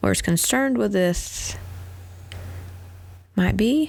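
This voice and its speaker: A woman speaks with a Southern US accent over noticeable background noise. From Tennessee. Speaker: vlogger. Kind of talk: casual chat. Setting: at home.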